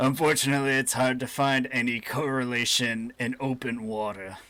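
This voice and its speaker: Putting on a character voice, a man speaks at a moderate pace and medium pitch with fairly even intonation. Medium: actual play. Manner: measured, explanatory.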